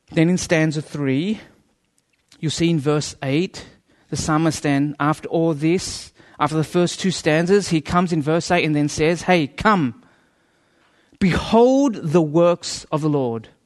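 Speaking at a fairly slow pace, a man has an ordinary speaking voice, fairly high in pitch, with ordinary pitch variation. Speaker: guest preacher. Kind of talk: sermon. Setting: church with audience. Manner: humorous, conversational.

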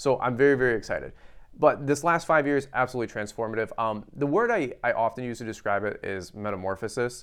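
With a quiet background, a man speaks very fast at a medium pitch with ordinary pitch variation. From grew up in a trailer park. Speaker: lawn care business owner and YouTuber. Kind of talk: casual interview.

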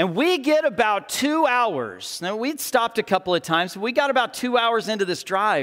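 At a moderate pace, a man with a Texan accent talks at a high pitch with very wide pitch swings, on a very clean recording with a silent background. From Texas Panhandle. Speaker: pastor. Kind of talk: sermon. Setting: church.

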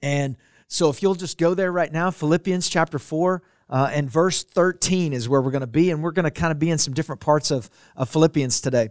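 A man speaks at a fairly quick pace in a normal speaking voice, pitched fairly high with ordinary variation. The recording is very clean, with a silent background. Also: dry, close sound with no echo. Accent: American. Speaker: pastor. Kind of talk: sermon.

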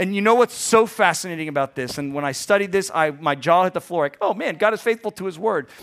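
A man speaks very fast at a high pitch. The sound is dry and close, with no echo. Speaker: preacher. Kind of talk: sermon. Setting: church. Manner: casual, conversational, self-deprecating.

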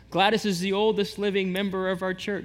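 A high-pitched man talks, and the room's echo is audible. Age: 40s. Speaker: pastor. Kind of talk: sermon. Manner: casual, conversational.

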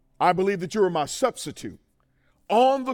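A man speaks in an animated, passionate tone with ordinary pitch variation. The recording is very clean, with a silent background. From Mississippi. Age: 40s. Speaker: preacher. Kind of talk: sermon. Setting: stage with audience. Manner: call-and-response, passionate.

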